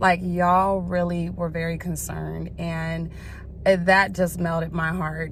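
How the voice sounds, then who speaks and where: This woman has an American accent and speaks at a moderate pace. There is audible room echo. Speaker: vlogger. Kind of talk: casual vlog talk. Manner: casual, filler-heavy.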